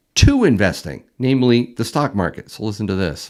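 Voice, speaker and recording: An unremarkable speaking voice from a man, with ordinary pitch variation at a moderate pace. The recording is very clean, with a silent background. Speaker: YouTube host, precious metals stacker. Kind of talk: casual live stream talk.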